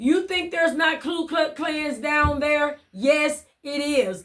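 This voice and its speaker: A woman speaks in an animated tone at a high pitch. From US South, southeast Missouri Bootheel. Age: 60s. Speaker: ministry outreach leader. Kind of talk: testimony.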